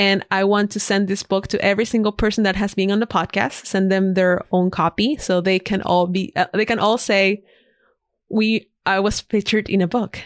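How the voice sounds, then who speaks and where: A woman with a Spanish accent speaks at a medium pitch and a moderate pace, with fairly even intonation and very even loudness. The recording is very clean, with a silent background and a dry, close sound with no echo. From Ecuador, Guayaquil. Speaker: designer and podcaster. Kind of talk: podcast interview.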